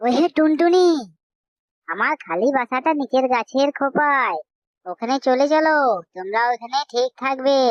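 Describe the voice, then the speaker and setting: A female-sounding voice in a cartoonish character voice speaks at a fairly slow pace and a high pitch. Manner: kind, reassuring.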